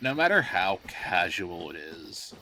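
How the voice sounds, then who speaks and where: A man speaks with ordinary pitch variation. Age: 20s. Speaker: gaming streamer. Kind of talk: live gameplay commentary. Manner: stutters, halting with fillers; casual, conversational.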